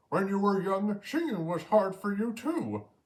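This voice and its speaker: At a moderate pace, a man uses a put-on character voice pitched high. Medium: read story.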